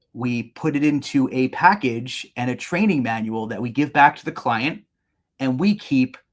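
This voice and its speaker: A man with a New York accent at a moderate pace, with ordinary pitch variation. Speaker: business owner presenting a webinar. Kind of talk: webinar presentation. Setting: online webinar. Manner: repeats and restarts words.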